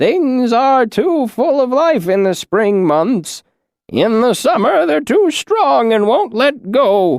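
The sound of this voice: Putting on a character voice, a man speaks in an extremely high pitch at a fairly slow pace, shaky, with very wide pitch swings and very even loudness.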